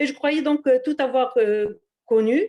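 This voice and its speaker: A woman speaks in a high pitch with lively intonation. The recording is very clean, with a silent background. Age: 60s. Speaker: retiree giving a testimonial. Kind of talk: testimony. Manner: halting.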